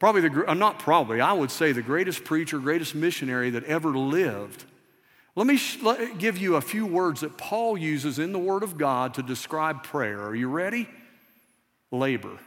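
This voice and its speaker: A fairly quick man in a Southern US accent with very wide pitch swings, music playing behind him. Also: fairly high pitch for a man. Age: 50s. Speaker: missions pastor. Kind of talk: sermon. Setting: church. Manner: conversational, interactive with audience.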